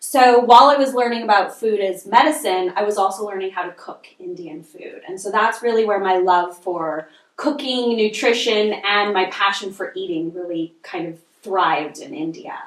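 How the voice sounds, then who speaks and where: A woman with a Canadian accent, a normal speaking voice, medium pitch, a moderate pace, ordinary pitch variation and big swings in loudness. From Canada, Montreal. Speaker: nutritional consultant and chef. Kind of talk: podcast interview.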